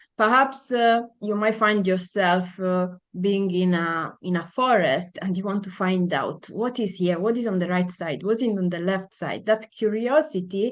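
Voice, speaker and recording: Someone with an Italian accent speaks at a moderate pace with ordinary pitch variation. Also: woman, medium pitch for a woman. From Italy. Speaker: podcast guest. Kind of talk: interview conversation. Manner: halting, many fillers.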